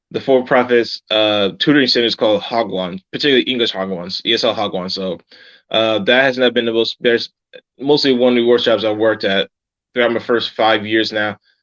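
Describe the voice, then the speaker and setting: This man has an ordinary speaking voice at medium pitch, with an American accent and fairly even intonation, moving at a fairly quick pace. The sound is dry and close with no echo, over a quiet background. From United States. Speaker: English teacher and travel author. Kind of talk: casual chat.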